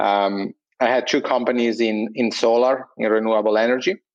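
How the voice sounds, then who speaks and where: A man's fairly low voice with an Italian accent and monotone, flat intonation. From Italy. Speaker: entrepreneur, sleep company co-founder. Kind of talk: casual interview. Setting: remote internet call. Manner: hesitant, many fillers.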